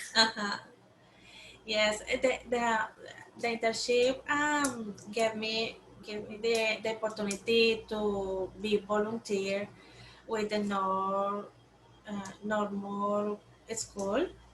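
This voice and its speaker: Speaking very slowly with long, frequent pauses, a woman with a Spanish accent uses a fairly high pitch and fairly even intonation. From Colombia. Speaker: program intern and teacher. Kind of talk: interview. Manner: halting.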